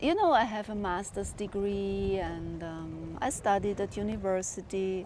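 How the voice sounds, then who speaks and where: In a room with audible echo, a woman speaks with a German accent. She talks at a fairly slow pace with hardly any pauses. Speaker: spiritual vlogger. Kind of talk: personal monologue.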